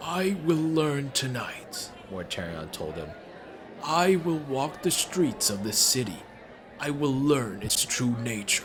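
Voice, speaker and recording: Over clear background noise, a man puts on a character voice at medium pitch, talking fairly slowly with very wide pitch swings. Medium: read story. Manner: grave, slow, brooding.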